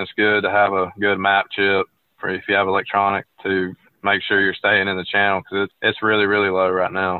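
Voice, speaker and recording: A man with a Southern US accent, fairly low pitch, monotone, flat intonation and fairly quick pace. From Alabama. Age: 20s. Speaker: fishing guide. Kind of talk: interview.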